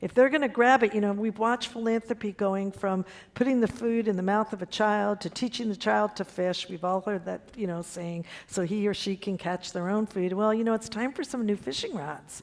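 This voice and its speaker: In an ordinary speaking voice, a woman talks at a moderate pace with hardly any pauses, her pitch medium and its variation ordinary. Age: 60s. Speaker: foundation CEO. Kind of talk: panel discussion.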